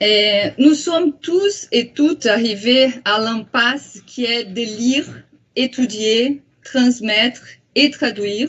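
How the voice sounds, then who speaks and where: Speaking very slowly in a high voice, a woman talks with a strong Brazilian accent. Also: ordinary pitch variation. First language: Portuguese (speaking French). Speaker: psychoanalyst and translator. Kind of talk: lecture. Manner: halting, many hesitations.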